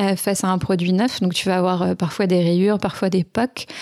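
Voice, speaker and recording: A woman speaks at medium pitch with a dark, mellow tone. Her pace is moderate. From France, Lyon region (Rhône). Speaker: entrepreneur, startup co-founder. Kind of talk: interview.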